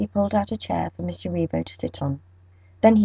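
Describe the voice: Reading aloud, plain.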